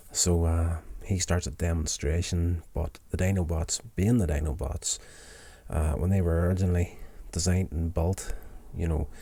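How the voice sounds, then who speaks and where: A man's very deep, low pitch with a dark, mellow tone, somewhat breathy, fairly even intonation, a moderate pace, and a very clean recording with a silent background. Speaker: TV episode reviewer, vlogger. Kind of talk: casual review recap. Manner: casual with frequent fillers.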